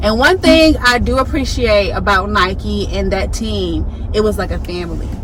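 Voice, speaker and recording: An animated woman is heard here. The recording has audible room echo and noticeable background noise. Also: moderate pace. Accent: Southern US. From Southwest Atlanta, Georgia. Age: 20s. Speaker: influencer and sneaker designer. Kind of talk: casual chat. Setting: in a car.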